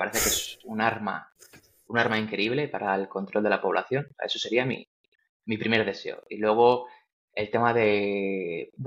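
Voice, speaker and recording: A man speaks at a moderate pace in an unremarkable speaking voice. His pitch is medium and his intonation fairly even. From Spain, Valladolid. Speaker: tech entrepreneur. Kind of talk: interview.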